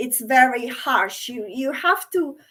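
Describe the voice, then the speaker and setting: Speaking at a fairly slow pace, a woman with a high pitch talks with a non-native accent. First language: not English. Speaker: NLP course graduate, former hospitality worker. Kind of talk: interview answers.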